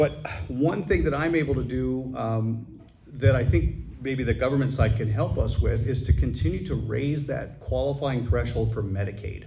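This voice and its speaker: Over audible room echo, a man talks at a moderate pace. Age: 50s. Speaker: assisted living director and Navy reserve officer. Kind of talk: audience question at a public forum. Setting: business roundtable with audience.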